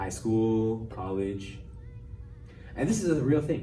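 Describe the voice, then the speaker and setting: With music in the background and audible room echo, a man speaks in a fairly low pitch with lively intonation. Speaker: podcast host. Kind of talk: casual chat. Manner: fast; articulate.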